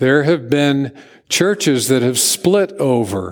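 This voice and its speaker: Speaking at a fairly slow pace, a man uses a plain, everyday voice that sits fairly high for a man, with lively intonation. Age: 60s. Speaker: pastor. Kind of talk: sermon. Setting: church.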